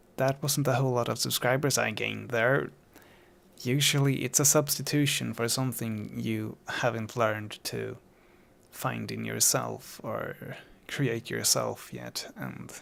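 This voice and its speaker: A man talks at a fairly slow pace with a non-native accent. The recording is very clean, with a silent background. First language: not English. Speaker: musician talking about own songs. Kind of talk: casual podcast monologue. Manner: halting, many fillers.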